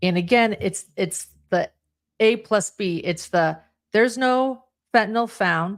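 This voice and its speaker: A woman at medium pitch with a slight Utah accent, lively intonation and a fairly slow pace, in a very clean recording with a silent background. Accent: slight Utah accent on some words. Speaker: true crime podcast panelist. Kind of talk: live podcast discussion. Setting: live stream.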